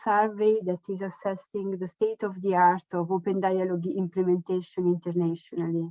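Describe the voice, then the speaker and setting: A woman with a non-native accent speaks at a moderate pace, her medium-pitched voice dark and mellow in tone. Her intonation is fairly even, and the sound is dry and close with no echo. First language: Italian. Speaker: researcher. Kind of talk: online presentation. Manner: halting.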